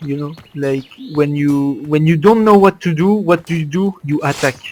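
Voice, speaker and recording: In a Belgian French accent, a man with a fairly high voice talks at a moderate pace with ordinary pitch variation. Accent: French-speaking Belgian. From Belgium. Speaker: competitive gamer. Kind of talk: gameplay commentary. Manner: casual, hesitant.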